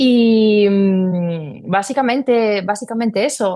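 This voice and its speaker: A woman with a Spanish accent at a very slow pace, on a very clean recording with a silent background. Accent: Spanish accent (Spain). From Spain, La Rioja. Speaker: wine tourism marketing consultant. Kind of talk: interview.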